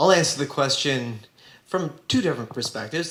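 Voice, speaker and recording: A man talks at a fairly quick pace with ordinary pitch variation, with audible room echo and noticeable background noise. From Southern California. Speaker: trial attorney and school board president. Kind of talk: panel talk to students. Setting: classroom event with audience.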